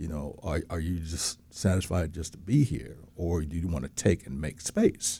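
Speaking with an American accent, a man has a very deep, low pitch, a somewhat breathy, dark, mellow tone and ordinary pitch variation. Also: moderate pace, hardly any pauses. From outside Florida. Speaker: co-host.

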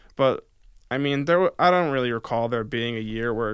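A normal speaking voice from a man, medium in pitch with ordinary pitch variation, at a fairly quick pace on a very clean recording with a silent background. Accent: American. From upstate New York, near Albany. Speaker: sports podcast co-host, student. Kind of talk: casual sports chat.

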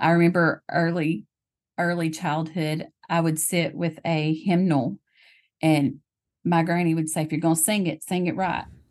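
A woman with a Tennessee accent, fairly low in pitch and flat in intonation, at a moderate pace against a quiet background. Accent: Southern US (Tennessee). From US South, Tennessee. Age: 40s. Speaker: legal secretary and church worship leader. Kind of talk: casual interview about faith.

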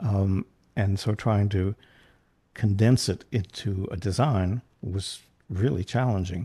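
A man with an American accent speaks very slowly, leaving long, frequent pauses. His voice is fairly low, dark and mellow, somewhat breathy, over a quiet background. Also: ordinary pitch variation. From North Central West Virginia. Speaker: set designer. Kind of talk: casual chat.

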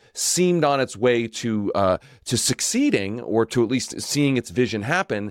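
At a fairly slow pace, a plain, everyday voice comes through with a dry, close sound, no echo, and a very clean recording with a silent background. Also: man. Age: 40s. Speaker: podcast host. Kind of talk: interview.

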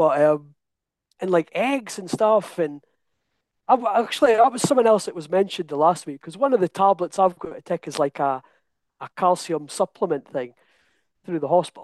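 A man with a Scottish accent talks at a fairly quick pace in a high pitch and lively intonation, the sound dry and close with no echo against a quiet background. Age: 30s. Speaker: coaching client. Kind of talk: interview. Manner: animated.

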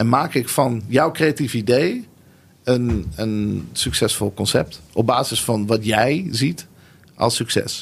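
Speaking at a very slow pace, a man uses a medium pitch with vocal fry and lively intonation. His loudness stays very even throughout. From Netherlands (Nieuwegein), born in Tel Aviv. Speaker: creative entrepreneur, marketing and branding strategist. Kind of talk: interview. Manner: hesitant, many fillers.

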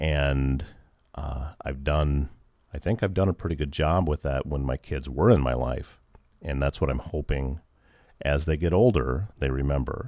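A man with a Midwestern American accent speaks at a moderate pace in a very deep, low pitch. His tone is dark and mellow, with ordinary pitch variation. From Northwest Iowa. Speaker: radio station manager and morning show host. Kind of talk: personal testimony in interview. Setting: radio studio.

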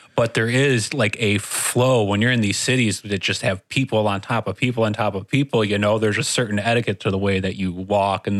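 Over noticeable background noise, a man with a fairly low pitch and fairly even intonation speaks at a fairly quick pace with hardly any pauses, in a dry, close sound with no echo. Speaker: studio engineer interviewer. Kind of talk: casual interview chat. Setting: studio.

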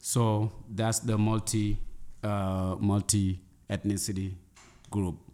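A man speaks very slowly in a monotone, flat delivery with a dark, mellow tone. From Senegal. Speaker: dancer, drummer and dance teacher. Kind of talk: interview.

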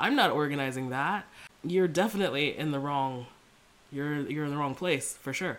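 Her pitch very deep and low, a woman speaks at a fairly quick pace with lively intonation. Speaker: body liberation coach, podcast host. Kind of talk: solo monologue rant. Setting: home recording, fan and open window. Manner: casual, conversational.

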